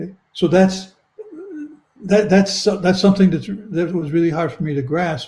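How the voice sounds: A man talks with fairly even intonation and a dark, mellow tone, with audible room echo around him.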